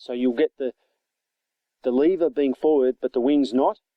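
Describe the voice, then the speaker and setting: This man has an Australian accent. His voice sounds dark and mellow. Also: dry, close sound with no echo. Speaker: toy reviewer. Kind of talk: product review. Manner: casual, hesitant with fillers.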